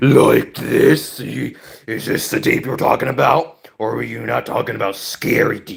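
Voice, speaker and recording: A man's raspy, put-on character voice, fairly slow with hardly any pauses. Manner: scary, menacing.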